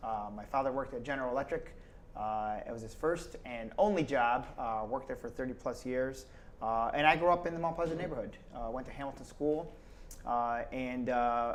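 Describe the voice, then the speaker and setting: In an American accent, a man talks at a moderate pace and medium pitch, with ordinary pitch variation and audible room echo. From Schenectady, New York, US. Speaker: state politician. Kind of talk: casual interview.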